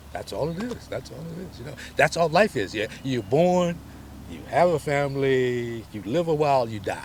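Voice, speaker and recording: The voice moves at a moderate pace with lively intonation. It is somewhat breathy and shows big swings in loudness. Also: man, fairly high pitch for a man. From US South (Selma, Alabama). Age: 70s. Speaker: voter interviewee. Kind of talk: interview.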